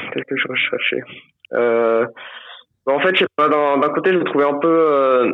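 Speaking at a very slow pace with long, frequent pauses, a man uses a fairly high pitch. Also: ordinary pitch variation. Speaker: traveler. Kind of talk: casual chat. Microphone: patchy phone signal.

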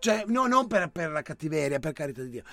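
This man's high-pitched voice has a bright, sharp tone and lively intonation. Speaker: radio host. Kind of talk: casual banter, live show. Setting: studio. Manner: animated, joking.

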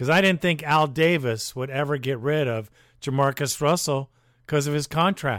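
Recorded dry and close with no echo, a man with a fairly high pitch speaks at a moderate pace. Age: 60s. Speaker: fan podcast host. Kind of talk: casual commentary and call-in show. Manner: animated.

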